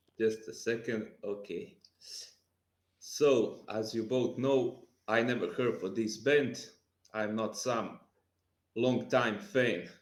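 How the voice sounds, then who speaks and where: With audible room echo, a man with a non-native accent speaks at a medium pitch and a very slow pace, taking long, frequent pauses. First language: not English. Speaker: music podcast panelist. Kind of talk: casual chat. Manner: halting.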